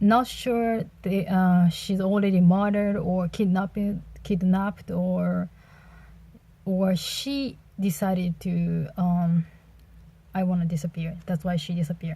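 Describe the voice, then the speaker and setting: Somewhat breathy and dark, mellow in tone, a woman with a Japanese accent speaks at a fairly slow pace with fairly even intonation and long, frequent pauses. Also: medium pitch for a woman. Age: 30s. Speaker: book reviewer. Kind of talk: casual book review monologue. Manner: halting, many fillers.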